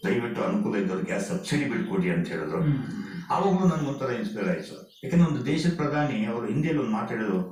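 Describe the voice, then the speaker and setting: A man with a fairly high pitch makes very wide pitch swings, heard through noticeable background noise and audible room echo. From Kolar, southern Karnataka, India. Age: 60s. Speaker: retired police officer. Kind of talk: radio interview. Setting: radio studio.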